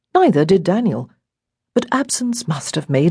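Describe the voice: Someone does plain reading aloud. The background is quiet.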